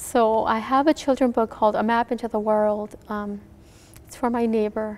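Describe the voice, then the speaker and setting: A woman with an American accent speaks at a fairly quick pace, with a fairly high pitch and fairly even intonation. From Minnesota, US (Hmong refugee family). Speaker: author. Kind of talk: interview. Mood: warm, reflective. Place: studio.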